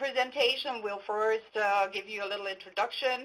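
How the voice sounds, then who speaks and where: Speaking with a German accent, a woman uses a fairly high pitch and fairly even intonation. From Germany. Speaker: patent attorney. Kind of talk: webinar presentation. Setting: online webinar. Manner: hesitant, many fillers.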